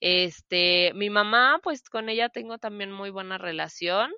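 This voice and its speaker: In a central Mexican accent, a woman speaks at a very slow pace, with a medium pitch and ordinary pitch variation. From Mexico, Celaya, Guanajuato. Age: 20s. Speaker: podcast co-host, preschool teacher. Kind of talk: casual chat.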